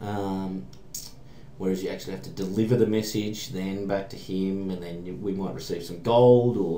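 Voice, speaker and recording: A man with an Australian accent, a dark, mellow tone and a fairly low pitch at a fairly quick pace, with audible room echo. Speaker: programming tutorial maker. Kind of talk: tutorial. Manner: casual, hesitant with fillers.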